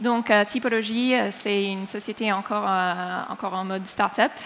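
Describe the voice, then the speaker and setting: In an American accent, a woman talks at a fairly slow pace. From United States. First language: English (speaking French). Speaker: head of brand. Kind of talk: conference panel talk. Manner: hesitant with many fillers.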